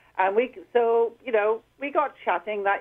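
With a Scottish accent, a woman speaks at a moderate pace with ordinary pitch variation. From Scotland, Edinburgh. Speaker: canine physiotherapist. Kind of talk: radio interview.

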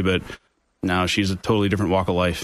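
A man talks at a very fast pace with an American accent. The background is quiet. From New York State (Orange County). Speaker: IT company CEO. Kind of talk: radio interview. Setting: studio.

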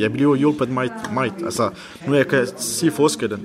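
Over noticeable background noise, a man speaks at a moderate pace in a medium-pitched voice. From Iran (Kurdish). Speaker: language student, school bus driver. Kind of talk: interview. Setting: language café.

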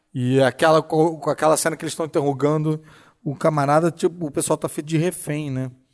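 A man's fairly high, fairly quick speech with a Brazilian accent, dry and close with no echo, on a very clean recording with a silent background. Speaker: podcast host. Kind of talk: casual chat. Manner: animated.

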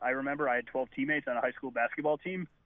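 A man with a plain, everyday voice, fairly high in pitch, with fairly even intonation. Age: 30s. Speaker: food bank representative. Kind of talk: radio interview.

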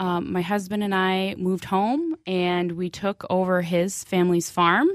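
At a fairly slow pace and with hardly any pauses, a woman of medium pitch speaks with an Upper Midwest accent in a very clean recording with a silent background. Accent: Upper Midwest (Minnesota). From central Minnesota. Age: 30s. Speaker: hog farmer. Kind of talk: interview.

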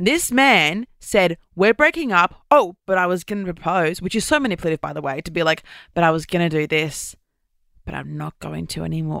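Recorded very cleanly against a silent background, a woman with an Australian accent shows big swings in loudness, the sound dry and close with no echo. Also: moderate pace. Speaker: podcast host. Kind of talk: casual chat. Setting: studio. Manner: animated.

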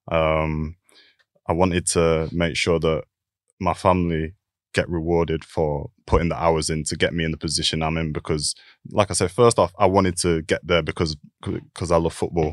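This man has a very deep, low pitch and a Lancashire accent, talking at a moderate pace with monotone, flat intonation. The sound is dry and close with no echo, on a very clean recording with a silent background. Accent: Lancashire (Bolton) English. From northern England, Bolton. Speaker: professional footballer. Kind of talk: casual interview.

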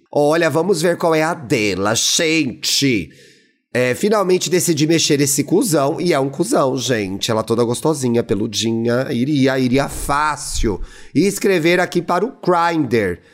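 With lively intonation and a fairly high pitch, a man speaks at a fairly slow pace. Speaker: podcast co-host. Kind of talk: casual chat. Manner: animated.

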